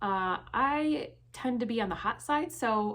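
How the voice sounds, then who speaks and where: A woman speaks with an American accent. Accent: Midwestern, some viewers hear it as thick. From Michigan, US Midwest. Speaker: fashion and subscription box vlogger. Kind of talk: casual Q&A vlog.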